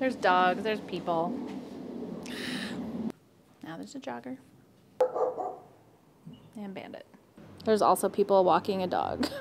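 Light background noise can be heard. The speaker is a woman. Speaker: quilting video host. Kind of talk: casual vlog chat. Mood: amused frustration, laughing. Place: street. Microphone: lapel.

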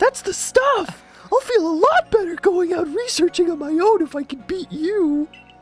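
An extremely high-pitched put-on character voice at a moderate pace, with faint music in the background. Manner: enthusiastic, competitive.

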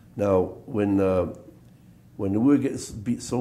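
The voice belongs to a man and sits fairly low. It has a dark, mellow tone.

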